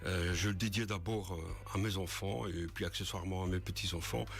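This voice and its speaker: A man with a very deep, low pitch and ordinary pitch variation talks at a moderate pace, with audible room echo and noticeable background noise. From Belgium, Ardennes (Vielsalm). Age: 60s. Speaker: author, retired military. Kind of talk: radio interview. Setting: radio studio. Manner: halting, many hesitations.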